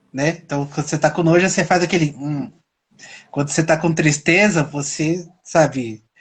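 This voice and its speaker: Here a man speaks at a moderate pace and a fairly high pitch. The background is quiet. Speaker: self-knowledge talk show host. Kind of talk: casual interview chat on live stream. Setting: live stream. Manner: gets loud and higher when excited.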